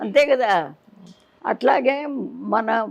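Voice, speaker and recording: A woman speaks with vocal fry. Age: 80s+. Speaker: temple priestess. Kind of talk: interview answer.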